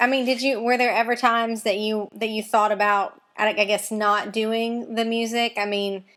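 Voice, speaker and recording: A woman with a strong Mississippi accent speaks at a moderate pace with a fairly high pitch. Her intonation is monotone and flat, with hardly any pauses. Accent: Mississippi Southern accent, strong. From Mississippi, US South. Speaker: interviewer. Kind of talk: interview.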